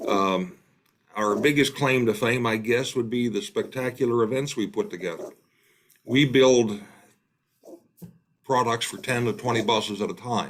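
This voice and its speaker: Speaking in an Appalachian accent, a man at a medium pitch keeps a moderate pace broken by long, frequent pauses. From West Virginia, Appalachia. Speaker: tour company operator. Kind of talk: casual presentation.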